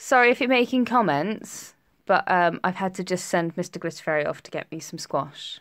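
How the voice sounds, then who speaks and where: A woman at medium pitch with lively intonation and a moderate pace. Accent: British. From England, Essex (Tiptree). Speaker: nail technician. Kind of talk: live stream tutorial. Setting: live stream. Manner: chatty.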